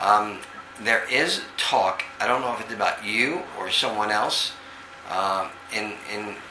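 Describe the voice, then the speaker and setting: Amid noticeable background noise and audible room echo, a man with a New York accent speaks at a fairly low pitch. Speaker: psychic medium. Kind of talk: psychic reading over video call. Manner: halting, many fillers.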